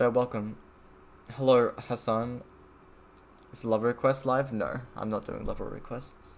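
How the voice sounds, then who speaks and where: A man speaks in a flat monotone at a medium pitch and a fairly slow pace, with long, frequent pauses. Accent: Australian. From Australia. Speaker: streamer. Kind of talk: casual chat. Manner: casual, disfluent.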